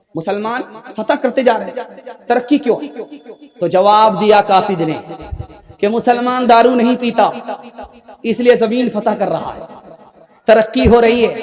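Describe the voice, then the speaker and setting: Amid noticeable background noise, a man with an extremely high voice speaks with long, frequent pauses and ordinary pitch variation. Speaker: Islamic preacher. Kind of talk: religious sermon.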